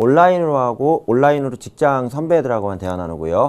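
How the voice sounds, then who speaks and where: A man's medium-pitched voice with a dark, mellow tone, very wide pitch swings and a fairly quick pace. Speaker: professor. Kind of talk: lecture. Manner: fast.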